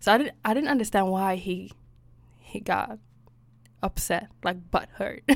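With vocal fry, a woman talks at a fairly slow pace, leaving long, frequent pauses. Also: medium pitch for a woman, ordinary pitch variation. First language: Swedish. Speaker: podcast co-host. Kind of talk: casual chat.

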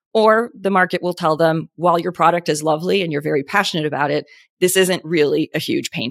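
Speaking at a very fast pace, a woman with a fairly low pitch, vocal fry, and ordinary pitch variation is captured in a very clean recording with a silent background and a dry, close sound with no echo. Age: 40s. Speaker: beauty brand founder and CEO. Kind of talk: podcast interview. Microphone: good podcasting microphone.

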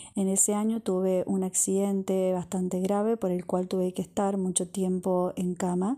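A woman's dark, mellow tone holds a monotone, flat intonation and very even loudness in a very clean recording with a silent background. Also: medium pitch for a woman, moderate pace, hardly any pauses. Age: 30s. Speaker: crochet designer and podcaster. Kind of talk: personal monologue podcast.

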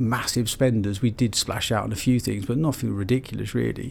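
This is a man with a plain, everyday voice. He speaks at a medium pitch and a fairly quick pace. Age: 40s. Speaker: entrepreneur, company founder. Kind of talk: interview conversation. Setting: office studio.

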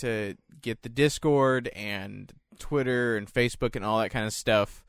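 On a very clean recording with a silent background, a man of medium pitch speaks at a fairly slow pace. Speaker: podcast co-host, grocery store worker. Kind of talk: casual chat. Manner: hesitant, many fillers.

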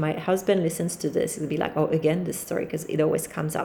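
A woman speaks with a French accent. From France, Paris. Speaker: podcast host. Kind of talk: solo monologue, casual talk to listeners. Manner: relaxed, freestyle, rambling with fillers.

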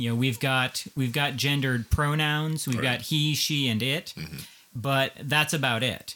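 Moderate pace from a man at a medium pitch, his pitch variation ordinary. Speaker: podcast host. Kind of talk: casual conversation discussing gender.

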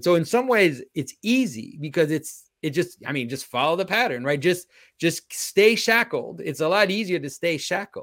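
A man with a Quebec accent talks at a moderate pace with hardly any pauses, his high voice swinging very widely in pitch. The recording is very clean, with a silent background. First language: French. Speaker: icon carver and public speaker. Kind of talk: interview conversation.

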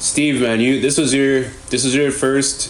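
Noticeable background noise runs beneath a man talking at a moderate pace. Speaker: podcast host. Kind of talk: casual chat.

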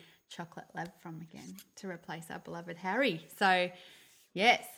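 A woman with an Australian accent speaks in a bright, sharp tone with ordinary pitch variation. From Melbourne, Australia. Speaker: podcast co-host. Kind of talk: casual chat.

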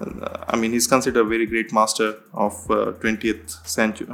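This man speaks with an Indian accent. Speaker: head of growth in digital marketing. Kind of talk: podcast interview. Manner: hesitant with frequent fillers.

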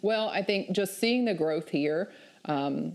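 In a Southern US accent, a woman speaks at a fairly slow pace with lively intonation, on a very clean recording with a silent background. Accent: Southern US (Georgia). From US South, southeast Georgia. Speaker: remote worker, meetup group leader. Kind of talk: casual interview.

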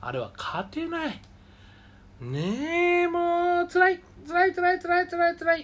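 A man speaks at an extremely high pitch and a very slow pace. His intonation stays fairly even while his loudness swings widely. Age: 40s. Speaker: radio show host. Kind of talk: solo casual talk.

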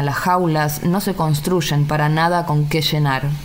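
A woman with a very deep, low pitch speaks at a moderate pace with fairly even intonation, with noticeable background noise and audible room echo. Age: 30s. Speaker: poet and journalist. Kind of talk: poetry reading.

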